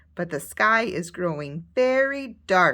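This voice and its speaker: A woman uses a put-on character voice at a medium pitch, her pitch swinging very widely. She goes at a fairly slow pace, and the recording is very clean with a silent background. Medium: read story.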